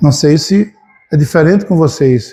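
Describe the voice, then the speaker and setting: A man's high, dark, mellow voice at a fairly slow pace, with ordinary pitch variation. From Brazil, Alagoas backlands (Piranhas). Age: 60s. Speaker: spiritist lecturer. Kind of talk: lecture.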